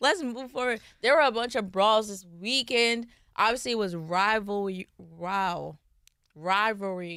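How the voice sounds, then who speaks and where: At a fairly slow pace, a woman with a bright, sharp tone speaks at a medium pitch with ordinary pitch variation in a very clean recording with a silent background. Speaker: sports podcast co-host. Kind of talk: casual chat.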